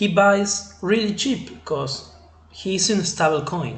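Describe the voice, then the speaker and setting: A man's high-pitched voice with an Argentine accent, ordinary pitch variation and audible room echo. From Argentina. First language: Spanish. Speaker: crypto trading channel host. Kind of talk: tutorial. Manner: halting, with many fillers. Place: home room. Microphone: webcam.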